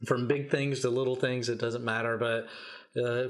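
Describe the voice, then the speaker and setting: A man's plain, everyday voice with an American accent, medium pitch and a fairly quick pace. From Kentucky, US South. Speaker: entrepreneur, event host. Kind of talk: podcast interview.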